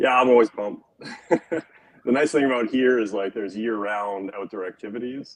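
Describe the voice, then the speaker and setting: With a Western Canadian accent, the speaker moves at a fairly quick pace in fairly even intonation, broken by long, frequent pauses. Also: man, medium pitch for a man. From Alberta, Canada. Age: 30s. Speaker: skier and former snowboard instructor. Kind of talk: casual interview. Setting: live stream.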